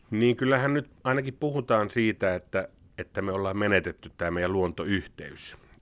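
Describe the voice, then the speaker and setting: A man talks at a moderate pace. His voice is fairly low, with ordinary pitch variation. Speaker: biology professor. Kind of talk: interview. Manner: hesitant, repeats words.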